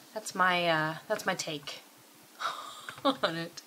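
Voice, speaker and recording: A woman talks at a very slow pace. Noticeable background noise can be heard. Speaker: vlogger. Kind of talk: casual vlog chat. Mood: wry, laughing. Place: home room. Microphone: webcam.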